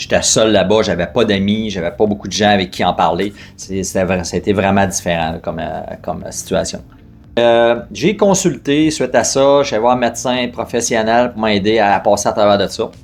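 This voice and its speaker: A man with a Quebec accent, fairly low pitch, ordinary pitch variation and a moderate pace, with music in the background. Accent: Québécois French. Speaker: fitness company co-founder. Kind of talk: personal testimony interview. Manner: hesitant, many fillers.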